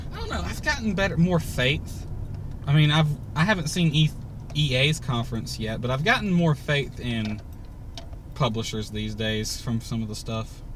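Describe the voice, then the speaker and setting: A man's lively intonation comes through with audible room echo. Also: medium pitch for a man, moderate pace. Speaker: gaming YouTuber. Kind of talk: casual chat. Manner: stuttering.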